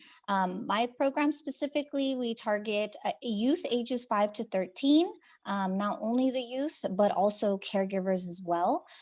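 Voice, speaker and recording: A plain, everyday voice from a woman, lively intonation at a moderate pace over a quiet background. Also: fairly high pitch for a woman. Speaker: behavioral health program presenter. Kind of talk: webinar presentation.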